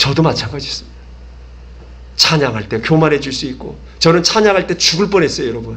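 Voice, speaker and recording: A man speaks at a very fast pace. He leaves long, frequent pauses. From South Korea. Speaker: pastor. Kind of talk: sermon. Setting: church. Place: church. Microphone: podium.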